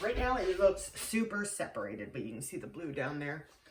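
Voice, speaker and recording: Over noticeable background noise, a woman with an American accent talks in very wide pitch swings. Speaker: soap maker. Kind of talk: tutorial. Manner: casual, talking half to herself; quiet, whispering.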